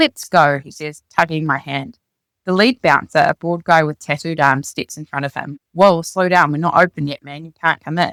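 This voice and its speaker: With a New Zealand accent, a woman talks at a moderate pace in a fairly low pitch with ordinary pitch variation, the sound dry and close with no echo. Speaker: author reading her own memoir. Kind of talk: reading aloud.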